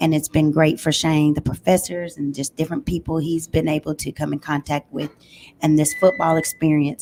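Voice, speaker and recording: Noticeable background noise sits behind a woman's voice. She talks at a moderate pace in a very deep, low pitch. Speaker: football player's parent. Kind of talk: casual chat. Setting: live show at a pizza restaurant. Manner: animated.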